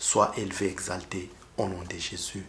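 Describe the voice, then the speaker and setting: Against audible room echo, a man with a Rwandan accent speaks at a very slow pace. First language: Kinyarwanda (speaking French). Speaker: preacher. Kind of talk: testimony. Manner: halting.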